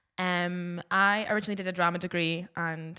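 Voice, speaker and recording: The tone is bright and sharp. The speaker talks with a Scottish accent. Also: woman. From southwest Scotland, Dumfries. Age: 20s. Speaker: DJ. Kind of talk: casual podcast introduction.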